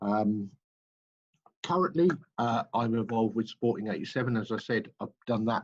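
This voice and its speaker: A man with an English accent speaks at a moderate pace in a fairly low voice. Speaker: football club manager and coach. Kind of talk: webinar presentation. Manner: hesitant, many fillers.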